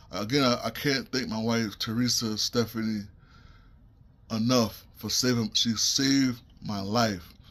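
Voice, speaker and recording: Medium-pitched speech from a man with a New York accent and fairly even intonation. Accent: New York City. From US Northeast, Brooklyn, New York. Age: 40s. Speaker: stroke survivor. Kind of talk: testimony. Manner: halting.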